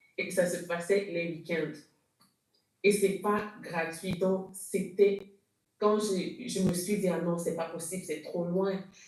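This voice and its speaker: With audible room echo, a woman talks very slowly in a monotone, flat delivery broken by long, frequent pauses. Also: medium pitch for a woman. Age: 40s. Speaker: church member giving testimony. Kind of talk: testimony. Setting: video call. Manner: halting.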